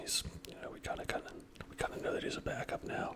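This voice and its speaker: A man is whispering over noticeable background noise. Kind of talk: ASMR trading card opening, casual talk. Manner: whispered, soft-spoken.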